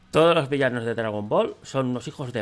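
Moving at a fairly quick pace, a man speaks at a medium pitch with ordinary pitch variation. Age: 30s. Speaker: YouTuber. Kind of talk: casual commentary reacting to online quiz. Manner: animated. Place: home room.

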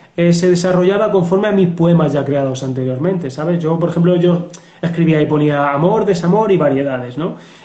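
Against a quiet background with audible room echo, a man talks at a high pitch with ordinary pitch variation. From Spain. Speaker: police officer and novelist. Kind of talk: interview. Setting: video call. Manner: halting. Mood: relaxed, reflective. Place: home room. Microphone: video call.

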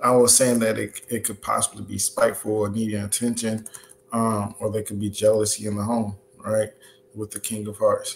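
A man speaks at a moderate pace with a fairly low pitch over light background noise. His intonation stays flat and monotone. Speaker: livestream host. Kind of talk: lecture. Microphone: webcam.

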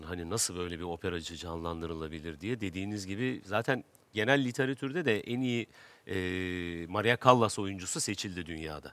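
Very deep and low, a man's voice moves with lively intonation. His pace is moderate, and the sound is dry with no echo. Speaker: actor. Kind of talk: casual interview talk. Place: stage. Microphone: headset.

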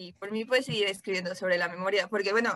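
A woman's bright, sharp voice with fairly even intonation, against a quiet background. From Mexico. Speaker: interviewer, writer; interviewer. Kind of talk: interview. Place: home room. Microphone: video call.

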